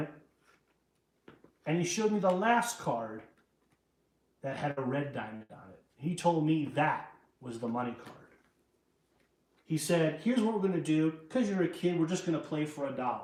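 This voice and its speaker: In a New York accent, a man with a fairly high pitch uses lively intonation, big swings in loudness and long, frequent pauses, with audible room echo. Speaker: magician. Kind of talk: magic performance patter, storytelling. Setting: live stream show. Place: home room.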